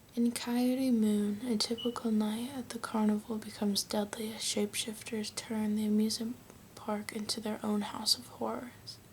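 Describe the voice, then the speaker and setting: A soft-spoken woman with an American accent and a fairly high pitch talks in a monotone, flat intonation at a moderate pace amid noticeable background noise. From United States. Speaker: ASMR creator. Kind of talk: reading book back cover blurbs.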